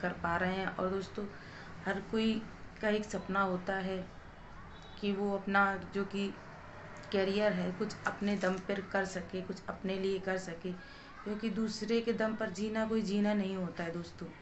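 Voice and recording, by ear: A woman's medium-pitched voice at a fairly slow pace, with little pitch movement and clear background noise.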